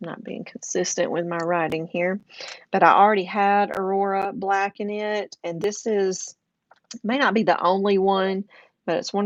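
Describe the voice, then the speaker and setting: A woman at a medium pitch with a slight Southern US accent, fairly even intonation and a fairly slow pace. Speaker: craft and journaling YouTuber. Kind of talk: casual livestream chat. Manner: casual, with fillers.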